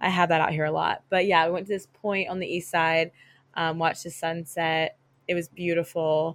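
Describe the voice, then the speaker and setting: A woman with an American accent speaks in a fairly low, monotone, flat voice at a moderate pace. The recording is very clean, with a silent background. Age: 20s. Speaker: podcast co-host. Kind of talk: casual chat.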